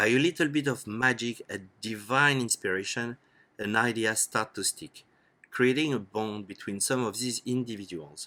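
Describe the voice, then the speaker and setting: With a French accent and a bright, sharp tone, the speaker talks at a moderate pace in a very clean recording with a silent background. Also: man, medium pitch for a man, ordinary pitch variation. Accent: French accent, still noticeable. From France. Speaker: startup educator. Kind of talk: lecture. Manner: formal.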